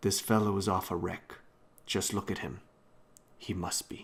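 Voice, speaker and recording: Putting on a character voice, a man speaks raspy and fairly low at a moderate pace. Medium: read story. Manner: plain-spoken, sure of himself.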